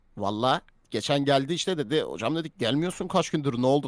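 In a dry, close recording with no echo, a man with a fairly high pitch talks at a fairly quick pace in an animated tone with ordinary pitch variation. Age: 20s. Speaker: streamer. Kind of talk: casual live stream chat.

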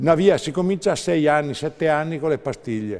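A man with a dark, mellow tone speaks with lively intonation. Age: 70s. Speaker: herbalist, naturopath; guest. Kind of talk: TV interview. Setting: TV studio. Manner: animated. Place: studio. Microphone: lapel.

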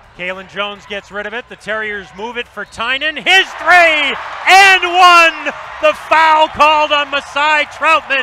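A man's raised, projected voice at a fairly slow pace, with lively intonation and big swings in loudness, dry with no echo, over noticeable background noise. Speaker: play-by-play announcer. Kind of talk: live play-by-play sports commentary. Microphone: headset.

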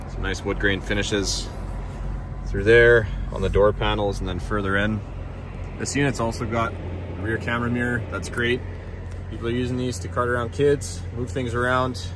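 Moderate pace from a man with ordinary pitch variation and long, frequent pauses, in a dry sound with no echo and noticeable background noise. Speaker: car salesperson. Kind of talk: product walkthrough. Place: car. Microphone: phone near.

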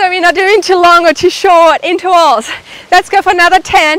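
The pace is moderate. The sound is dry with no echo. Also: woman. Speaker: fitness instructor. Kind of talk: workout instruction. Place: garden.

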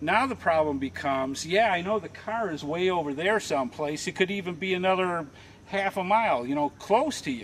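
Over light background noise, a man with a high voice speaks at a moderate pace with lively intonation. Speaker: tutorial host. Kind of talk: tutorial. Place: forest.

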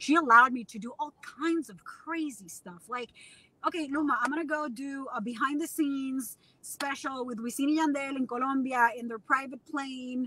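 Raised and projected, a woman's high voice has a bright, sharp tone and big swings in loudness. She keeps a moderate pace with ordinary pitch variation, and the sound is dry with no echo. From Puerto Rico. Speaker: TV news correspondent. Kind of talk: casual interview. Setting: in a car on video call. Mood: candid, reflective, laughing. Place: car. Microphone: video call.

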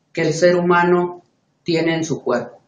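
With audible room echo, a man talks in a high pitch. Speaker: self-styled spiritual teacher. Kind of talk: preaching monologue to camera. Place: home room. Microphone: webcam.

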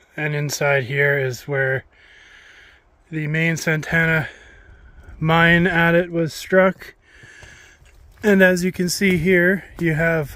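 The delivery is very slow, with fairly even intonation. The sound is dry, with no echo. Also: man. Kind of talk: field tutorial commentary. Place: forest. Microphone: phone near.

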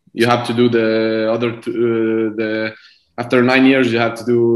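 A man speaks at a fairly slow pace in a quiet background with audible room echo. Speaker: guest. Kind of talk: interview answer. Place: home room. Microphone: video call.

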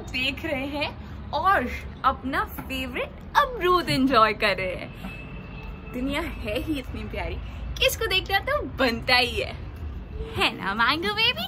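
A woman speaks at a very slow pace. There is noticeable background noise. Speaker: pet vlogger. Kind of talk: casual vlog chat. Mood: cheerful, affectionate. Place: home room. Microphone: phone near.

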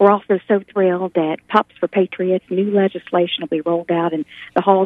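Over a quiet background, a woman speaks with monotone, flat intonation at a fairly quick pace in a dry sound with no echo. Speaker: radio guest. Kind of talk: interview answer. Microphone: phone line.

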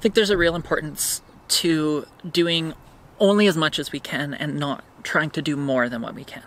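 The recording is dry with no echo, and the speech moves at a moderate pace. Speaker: vlogger. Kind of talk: casual vlog chat. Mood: thoughtful, reflective. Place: garden. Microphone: camera far.

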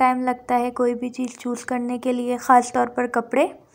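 Speaking at a fairly slow pace, a woman talks with a high pitch. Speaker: vlogger shopping. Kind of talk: casual vlog chat. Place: shop.

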